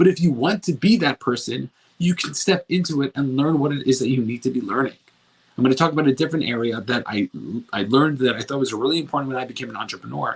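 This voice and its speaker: This man's fairly high voice rushes along at a very fast pace, its pitch varying in an ordinary way. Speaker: self-improvement coach. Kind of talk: motivational talk. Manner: mumbling; slurs word endings.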